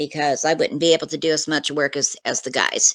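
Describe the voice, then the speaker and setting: With a US Midwestern accent, a woman speaks at a fairly quick pace in a very deep, low voice. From US Midwest, Kansas. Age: 60s. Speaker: retired nurse, eyewitness. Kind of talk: interview testimony.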